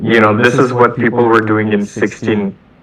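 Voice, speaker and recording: A fairly low-pitched man with a Bengali accent over noticeable background noise. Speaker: software engineer. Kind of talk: casual chat. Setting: video call. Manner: halting, repeats words.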